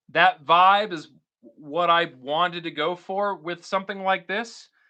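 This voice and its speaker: A man with an American accent projects a raised voice with a bright, sharp tone and high pitch against a quiet background. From Florida, Tampa Bay. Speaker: guitar YouTuber and live streamer. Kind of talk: casual live stream chat. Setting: live stream at home. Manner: loud; energetic.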